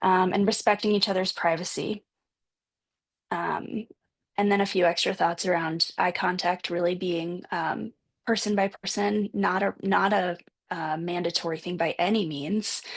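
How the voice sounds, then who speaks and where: At a moderate pace, an ordinary speaking voice talks with fairly even intonation. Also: woman, medium pitch for a woman. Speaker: panelist presenting on a support group. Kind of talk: panel presentation with slides. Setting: video call.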